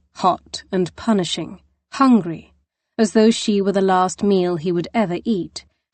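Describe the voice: Someone reads aloud plainly. There is little background sound.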